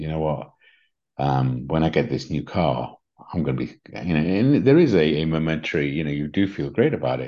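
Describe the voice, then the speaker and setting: With an English accent, a man speaks at a very deep, low pitch in a dark, mellow tone with vocal fry over a quiet background. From England. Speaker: spiritual coach and podcast host. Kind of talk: casual conversational podcast discussion.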